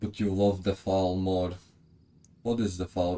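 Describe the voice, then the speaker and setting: With a non-native accent, a man speaks in a dark, mellow tone at a very deep, low pitch. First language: not English. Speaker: video game streamer. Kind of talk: live gameplay stream, reading game dialogue aloud with chat replies. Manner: casual, stumbling over unfamiliar names.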